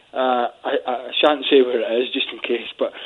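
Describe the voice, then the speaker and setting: This man has a fairly high pitch and speaks with a Scottish accent. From Scotland. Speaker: football pundit. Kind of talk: casual chat. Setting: phone call.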